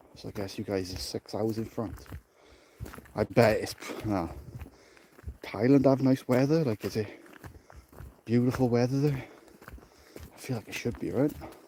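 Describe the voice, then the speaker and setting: Long, frequent pauses at a moderate pace in a South Welsh accent, with ordinary pitch variation and noticeable background noise. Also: man, medium pitch for a man. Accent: South Welsh valleys. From South Wales, the valleys. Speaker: security officer vlogger. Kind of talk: casual walking vlog chat. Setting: outdoors, walking through dark forest at night.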